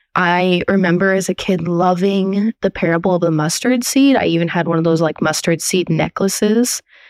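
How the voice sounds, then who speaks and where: A woman with an American accent uses an ordinary speaking voice at a moderate pace with hardly any pauses, a medium pitch and ordinary pitch variation, in a dry, close sound with no echo. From Portland, Oregon. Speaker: listener sharing coming-out story. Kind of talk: recorded testimony.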